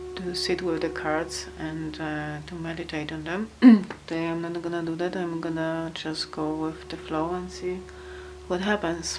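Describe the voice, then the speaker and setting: A woman with a non-native accent speaks at a moderate pace amid noticeable background noise and audible room echo. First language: not English. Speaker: tarot reader. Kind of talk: tarot card reading. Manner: halting, many fillers.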